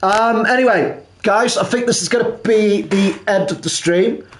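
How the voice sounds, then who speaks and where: Someone with a Welsh accent speaks at a fairly slow pace, and the room echo is audible. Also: man. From South Wales (Pembrokeshire). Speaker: gaming live streamer. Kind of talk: live gameplay commentary. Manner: halting.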